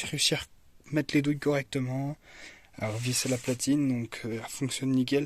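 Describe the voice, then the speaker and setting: Delivered at a very fast pace, a man's medium-pitched voice stays monotone and flat. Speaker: hobbyist video creator. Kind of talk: casual show-and-tell tutorial. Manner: soft-spoken; halting, many fillers.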